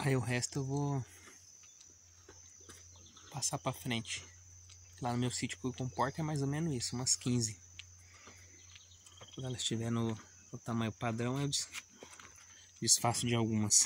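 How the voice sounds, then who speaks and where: At a moderate pace and with fairly even intonation, the speaker leaves long, frequent pauses, the sound dry with no echo and light background noise. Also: man. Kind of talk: casual vlog chat. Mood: warm, affectionate. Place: farm. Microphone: phone near.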